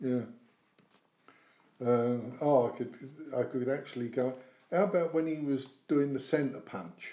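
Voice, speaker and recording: A man speaks with long, frequent pauses amid audible room echo. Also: medium pitch for a man, ordinary pitch variation, fairly slow pace. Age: 70s. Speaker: former prisoner recounting stories. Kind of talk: casual interview, storytelling. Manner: animated.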